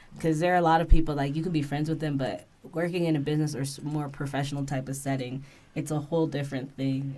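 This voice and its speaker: A woman with an American accent speaks at a very deep, low pitch with ordinary pitch variation, and audible room echo is present. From US East Coast. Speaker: business partner, host's wife. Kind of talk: casual chat.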